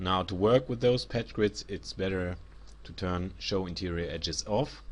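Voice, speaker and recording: In a German accent, a man with a very deep, low pitch speaks at a moderate pace, with ordinary pitch variation and big swings in loudness. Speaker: 3D software instructor. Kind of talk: tutorial.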